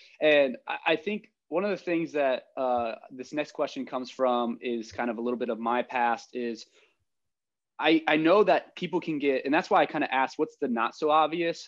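This man has an ordinary speaking voice with a fairly high pitch and an American accent. He talks at a moderate pace with ordinary pitch variation. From rural Ohio. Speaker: podcast host. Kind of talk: casual chat.

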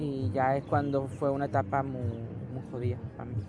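With music playing behind him, a man speaks at a fairly high pitch with ordinary pitch variation. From Barcelona, Spain. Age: 20s. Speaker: interviewee with Asperger syndrome. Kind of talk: interview answers. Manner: halting, repetitive.

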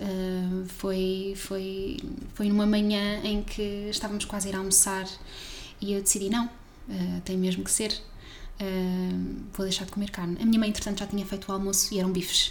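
There is audible room echo in the clip. A woman does the talking. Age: 20s. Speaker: science communicator. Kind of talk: casual chat.

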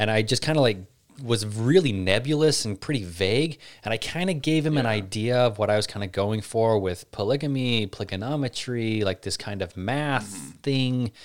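In a very clean recording with a silent background, a man with an American accent talks at a moderate pace in a normal speaking voice, his medium pitch carried by lively intonation. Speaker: podcast host. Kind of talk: casual Q&A chat.

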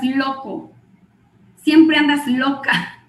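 A woman keeps her intonation fairly even while audible room echo hangs around her words. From Guatemala. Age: 40s. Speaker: network marketing distributor and clinical psychologist. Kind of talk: motivational training talk.

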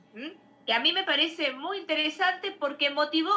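This woman speaks at a fairly quick pace in a high voice with ordinary pitch variation. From Bahía Blanca, Buenos Aires province, Argentina. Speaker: literature professor and researcher. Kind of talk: live-streamed interview. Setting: live video stream, also on radio.

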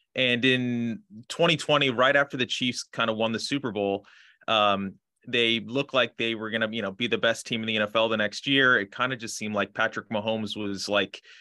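The speaker talks at a fairly quick pace with a Midwestern US accent and fairly even intonation. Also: man. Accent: US Midwest. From Kansas City suburbs, Kansas. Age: 30s. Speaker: sportswriter and author. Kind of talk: casual interview chat. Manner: halting, many fillers.

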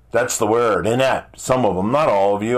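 The man talks at a medium pitch. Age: 60s. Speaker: motivational podcast host. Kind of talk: motivational monologue. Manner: animated.

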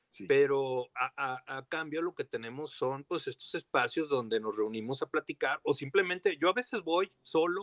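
A man with a plain, everyday voice, fairly high-pitched and lively in intonation, at a moderate pace, in a dry, close sound with no echo. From Torreón, Coahuila, Mexico (La Laguna region). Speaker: historian and archive director. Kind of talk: casual interview.

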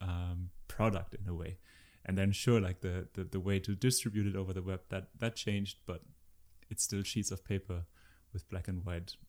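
A very deep, low-pitched man in a German accent, monotone and flat, at a moderate pace on a very clean recording with a silent background. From Germany. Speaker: researcher. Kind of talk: interview.

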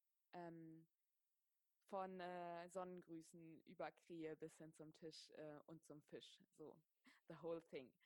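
Speaking very slowly, a woman uses a fairly low pitch. The sound is dry and close, with no echo. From Germany, Wiesbaden (Hesse). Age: 30s. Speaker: yoga teacher and writer. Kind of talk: casual interview. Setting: video call.

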